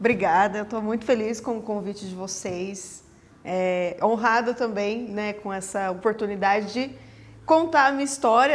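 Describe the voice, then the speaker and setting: A fairly high-pitched woman at a moderate pace, with ordinary pitch variation and audible room echo. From Brazil, São José (São Paulo state). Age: 30s. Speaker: pastry chef, former personal trainer. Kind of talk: podcast interview.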